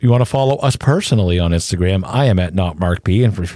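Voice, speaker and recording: A man speaks at a fairly quick pace. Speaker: true crime podcast co-host. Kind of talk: casual chat. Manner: fast talker; excitable.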